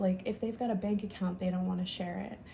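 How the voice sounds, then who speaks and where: Someone whispers over noticeable background noise. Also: woman. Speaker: tarot reader. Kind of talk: collective tarot reading. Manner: casual, slangy; briefly whispering.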